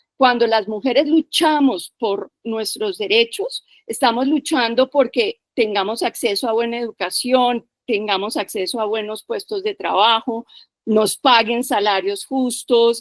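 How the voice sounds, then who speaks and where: The recording is dry and close, with no echo. A woman speaks at a fairly slow pace. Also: fairly high pitch for a woman, ordinary pitch variation. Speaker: participant in a feminist discussion session. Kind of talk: panel discussion. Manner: animated.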